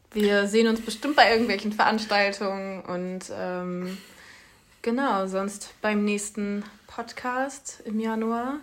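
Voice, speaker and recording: A woman at a very slow pace with fairly even intonation. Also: medium pitch for a woman. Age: 20s. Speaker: student podcast co-host. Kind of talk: casual chat.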